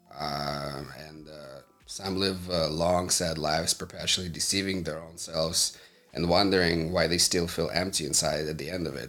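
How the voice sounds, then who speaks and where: Music plays in the background as a man talks at a moderate pace. His voice is very deep and low, with fairly even intonation. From Moldova. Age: 30s. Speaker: entrepreneur. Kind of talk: casual interview.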